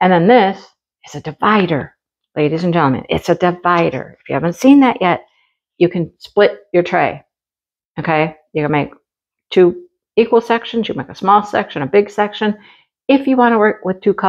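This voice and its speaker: Against a quiet background, a woman speaks with lively intonation and big swings in loudness. Her pauses are long and frequent. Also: moderate pace. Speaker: crafting hobby reviewer. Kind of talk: casual unboxing commentary. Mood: cheerful, chatty. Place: home room. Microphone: camera far.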